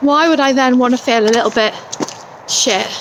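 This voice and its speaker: A woman with a high pitch speaks at a fairly slow pace with fairly even intonation, noticeable background noise behind her. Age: 40s. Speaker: vlogger. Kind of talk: casual vlog. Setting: outdoors. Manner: rambling.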